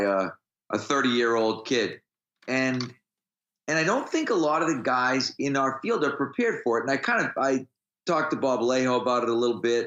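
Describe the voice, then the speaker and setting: A man speaks in an ordinary speaking voice at a medium pitch. His pace is moderate and his pitch variation ordinary. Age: 50s. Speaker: strength coach. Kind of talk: casual interview.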